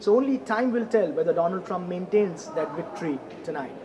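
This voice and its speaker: The voice moves at a moderate pace against noticeable background noise. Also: man. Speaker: news reporter. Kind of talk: news stand-up report. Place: hall. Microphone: handheld.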